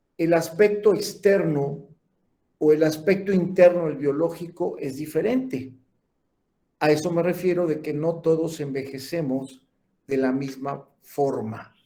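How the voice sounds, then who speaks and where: Audible room echo surrounds a man with a fairly high pitch and a dark, mellow tone. He talks at a fairly slow pace with ordinary pitch variation. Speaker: lecturer in gerontology and geriatrics. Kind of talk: lecture.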